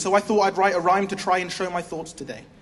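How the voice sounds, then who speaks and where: High-pitched for a man, this voice carries audible room echo. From England. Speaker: spoken word poet. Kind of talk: slam poetry performance. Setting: stage with audience.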